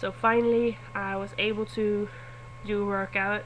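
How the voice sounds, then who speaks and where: A woman speaks with a Swedish accent at a medium pitch. Her pitch swings very widely. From Sweden. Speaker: vlogger. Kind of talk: casual vlog. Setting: webcam recording.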